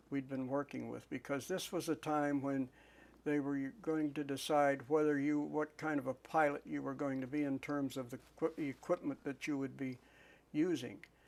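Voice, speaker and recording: A man at a fairly high pitch and moderate pace, monotone and flat in intonation, in a very clean recording with a silent background. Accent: American. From northwestern Pennsylvania, USA. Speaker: WW2 P47 fighter pilot, war veteran. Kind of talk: oral history interview answer.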